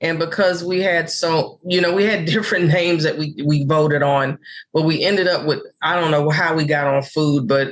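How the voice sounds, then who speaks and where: A woman with an American accent speaks at a moderate pace, in an unremarkable speaking voice. Her pitch is fairly low, with fairly even intonation and very even loudness. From New York City (Harlem). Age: 60s. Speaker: comedian. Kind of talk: interview chat.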